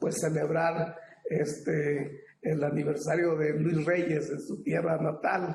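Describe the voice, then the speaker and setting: A man with a Mexican accent talks at a very slow pace, his pitch fairly high and his intonation monotone and flat. Audible room echo surrounds his voice. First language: Popoluca (speaking Spanish). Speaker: ethnolinguist academic panelist. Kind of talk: academic panel talk. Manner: halting, many fillers.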